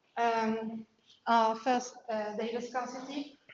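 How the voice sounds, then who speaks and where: A woman speaks in a French accent at a fairly high pitch. Audible room echo surrounds her voice. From France. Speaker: PhD researcher. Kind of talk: lecture. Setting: invited talk. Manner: halting, many fillers.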